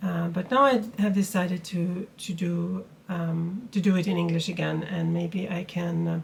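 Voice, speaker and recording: A woman's fairly low voice with a Swedish accent, fairly even intonation, a moderate pace and hardly any pauses. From Sweden. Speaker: knitting podcaster. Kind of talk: casual vlog talk. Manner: halting, many fillers.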